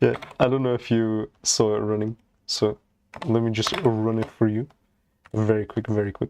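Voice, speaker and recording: With a non-native accent and monotone, flat intonation, the speaker goes at a moderate pace with long, frequent pauses, in a dry, close sound with no echo and a quiet background. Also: man, medium pitch for a man. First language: not English. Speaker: programming live streamer. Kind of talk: live coding stream chat. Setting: live stream. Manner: casual, halting with many fillers.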